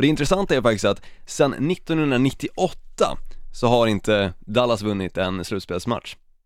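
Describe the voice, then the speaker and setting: On a very clean recording with a silent background, a man speaks at a fairly slow pace. His medium pitch makes very wide swings. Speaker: podcast co-host. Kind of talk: casual chat.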